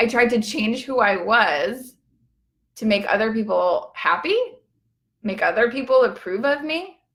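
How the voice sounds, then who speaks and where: At a fairly slow pace, a woman speaks in a fairly high pitch with lively intonation and vocal fry. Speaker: empowerment coach. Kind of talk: Facebook live talk. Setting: Facebook live video. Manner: casual, filler-heavy.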